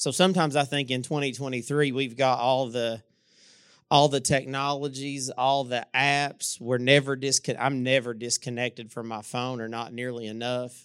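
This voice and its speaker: Monotone, flat delivery in an Appalachian accent at a moderate pace, on a very clean recording with a silent background. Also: man, medium pitch for a man. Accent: Appalachian Kentucky. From eastern Kentucky. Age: 40s. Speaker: pastor. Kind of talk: sermon. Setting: church.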